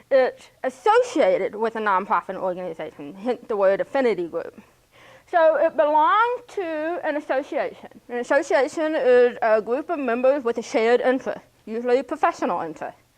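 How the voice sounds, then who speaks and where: With an American accent, a woman speaks at a fairly quick pace in a high voice that swings very widely in pitch. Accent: speech of a hearing impaired person. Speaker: graduate student presenting capstone. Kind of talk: presentation. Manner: halting.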